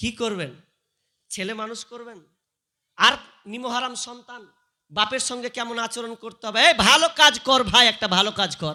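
A man speaks in a raised, projected voice at an extremely high pitch with ordinary pitch variation. His tone is bright and sharp, and his loudness swings widely. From West Bengal, Murshidabad. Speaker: Islamic preacher. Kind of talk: sermon. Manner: animated.

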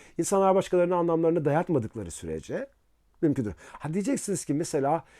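In a very clean recording with a silent background, a man with a fairly high voice speaks at a fairly quick pace with lively intonation. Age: 50s. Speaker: philosophy professor. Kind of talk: casual interview talk. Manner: hesitant, with filler sounds.

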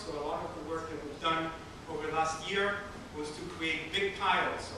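Amid noticeable background noise and strong room echo, a man speaks at a fairly quick pace. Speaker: museum curator host. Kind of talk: public talk. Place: hall. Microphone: camera far.

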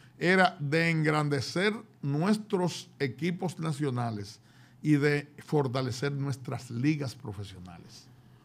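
Lively intonation, a somewhat breathy sound and a very slow pace. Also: man, fairly high pitch for a man. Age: 70s. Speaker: former basketball federation president. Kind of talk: interview. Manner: halting.

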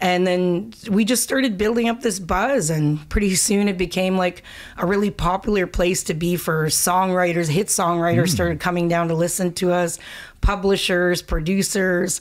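A woman at a moderate pace, with fairly even intonation, very even loudness and a quiet background. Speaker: singer. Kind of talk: interview answer. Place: studio. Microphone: studio mic.

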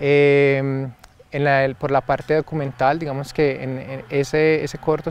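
Speech at a fairly slow pace in a flat monotone, with a dry sound and no echo. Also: man. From Antioquia, Colombia. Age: young. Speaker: filmmaker; guest. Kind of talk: interview. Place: garden. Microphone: lapel.

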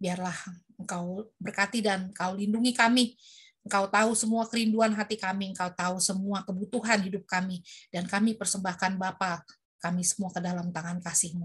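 Somewhat breathy and monotone, a woman talks at a fairly quick pace against a quiet background. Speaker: moderator. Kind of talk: prayer group moderating. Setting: video call. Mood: earnest, devout. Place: home room. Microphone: webcam.

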